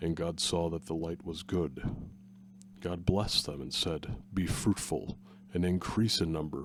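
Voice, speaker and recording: Using long, frequent pauses, a man speaks with a very deep, low pitch, vocal fry and ordinary pitch variation. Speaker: former radio presenter. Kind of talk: Bible reading, ASMR-style spoken word.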